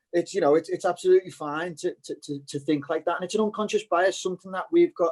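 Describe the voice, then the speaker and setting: A man speaks with a Liverpool accent. His pitch varies in an ordinary way, and the sound is dry and close with no echo. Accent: Scouse. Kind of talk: casual chat. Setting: video call.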